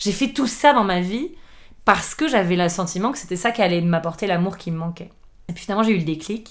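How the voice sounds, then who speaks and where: The voice carries lively intonation and big swings in loudness. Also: woman. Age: 30s. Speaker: chef and table d'hôte host. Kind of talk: casual interview conversation. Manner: halting, frequent repetitions.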